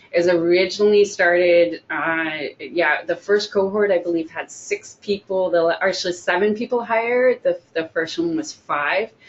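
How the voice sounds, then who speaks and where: A woman speaks at a medium pitch and moderate pace, with ordinary pitch variation and hardly any pauses. Noticeable background noise is present. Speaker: job coach. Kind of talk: webinar presentation. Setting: online event.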